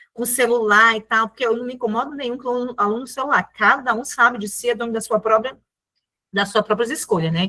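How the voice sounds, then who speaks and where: A woman's fairly high voice with a bright, sharp tone at a fairly quick pace. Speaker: teacher. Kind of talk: lecture. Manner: fast.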